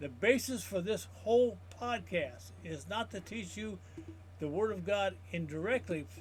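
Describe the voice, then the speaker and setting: With vocal fry and very wide pitch swings, a man speaks at a fairly high pitch and a fairly slow pace. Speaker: Bible teacher. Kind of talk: teaching. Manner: halting.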